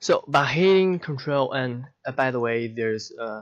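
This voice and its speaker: Here a man talks at a fairly slow pace. He has a non-native accent. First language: not English. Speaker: software tutorial creator. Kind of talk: tutorial. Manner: halting.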